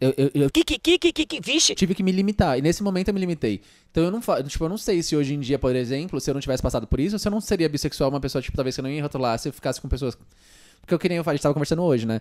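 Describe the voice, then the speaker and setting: A man's very fast speech with lively intonation, in a dry, close sound with no echo. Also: fairly high pitch for a man. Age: 20s. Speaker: youtuber and podcast host. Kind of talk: casual chat.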